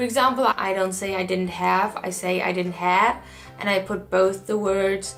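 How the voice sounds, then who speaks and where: A voice with a German accent is heard over music in the background. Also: woman. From Germany. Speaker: au pair. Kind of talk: casual talk to camera.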